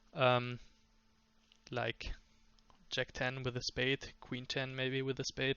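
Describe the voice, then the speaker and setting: A man with a non-native accent speaks at a fairly slow pace. His pitch is medium. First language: not English. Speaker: poker coach. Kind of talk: tutorial. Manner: halting, many fillers.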